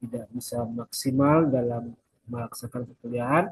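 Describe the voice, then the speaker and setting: A man's somewhat breathy voice, dark and mellow in tone, with fairly even intonation. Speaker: university lecturer. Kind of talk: recorded lecture.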